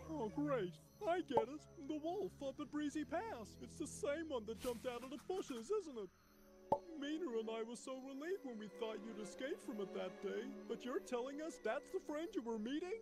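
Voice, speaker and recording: Over clear background noise, a put-on character voice with fairly high pitch moves at a moderate pace. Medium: fan dub. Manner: blunt, exasperated.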